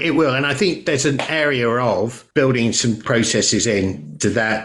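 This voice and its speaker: At a fairly slow pace, a man with a medium pitch speaks in a normal speaking voice with lively intonation. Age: 60s. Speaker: podcast host. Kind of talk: interview conversation.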